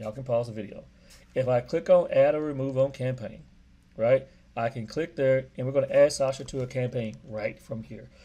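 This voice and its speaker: Somewhat breathy with a dark, mellow tone, a man speaks with an American accent and big swings in loudness. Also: medium pitch for a man, fairly quick pace. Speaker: real estate agent. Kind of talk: tutorial. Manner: fast; casual, upbeat.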